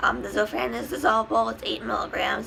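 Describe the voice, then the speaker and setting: A woman's voice is heard. There is noticeable background noise. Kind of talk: casual talk to camera.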